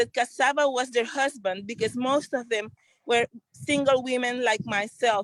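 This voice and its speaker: A fairly high-pitched woman with a Central American accent, at a moderate pace with ordinary pitch variation, in a dry, close sound with no echo. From Honduras, Garifuna community in Trujillo, Colón. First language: Garifuna. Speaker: entrepreneur and community organizer. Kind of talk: testimony.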